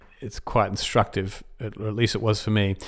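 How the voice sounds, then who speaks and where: Someone with an Australian accent speaks in a very clean recording with a silent background. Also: man. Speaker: esports podcast host. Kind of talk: solo podcast monologue.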